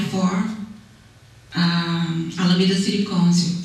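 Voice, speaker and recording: With music in the background and audible room echo, a woman with a Brazilian accent speaks at a medium pitch. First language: Portuguese. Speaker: city council candidate. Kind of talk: candidate forum speech. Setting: public meeting hall. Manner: halting.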